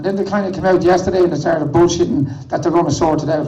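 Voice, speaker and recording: The speech comes very fast, with an Irish accent. There is audible echo from the room. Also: man. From Ireland. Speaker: protest activist. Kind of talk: protest speech.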